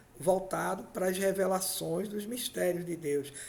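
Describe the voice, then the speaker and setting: Audible room echo surrounds speech at a fairly slow pace with ordinary pitch variation. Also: man. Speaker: pastor. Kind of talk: sermon.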